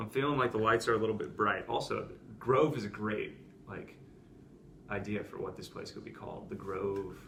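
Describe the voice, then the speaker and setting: Soft-spoken at a moderate pace, the speaker uses ordinary pitch variation, with big swings in loudness, long, frequent pauses and noticeable background noise. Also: man, fairly low pitch for a man. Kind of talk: casual podcast conversation.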